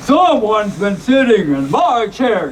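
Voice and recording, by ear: Against clear background noise, a man uses a high-pitched, put-on character voice with very wide pitch swings. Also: fairly slow pace.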